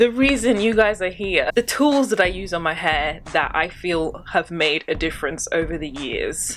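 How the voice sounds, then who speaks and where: Against light background noise, a woman talks at a moderate pace with ordinary pitch variation. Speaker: hair care vlogger. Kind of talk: casual vlog chat. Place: home room. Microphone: phone near.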